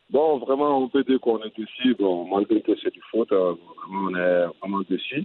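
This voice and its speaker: At a fairly slow pace with hardly any pauses, a man speaks with lively intonation. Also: medium pitch for a man. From Mali. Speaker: retired footballer and coach. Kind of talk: interview. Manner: halting.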